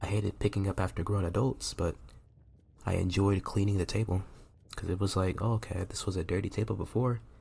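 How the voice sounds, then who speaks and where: A man whispering quietly at a fairly quick pace, somewhat breathy. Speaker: college student. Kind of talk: casual video diary ramble. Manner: whispered, quiet.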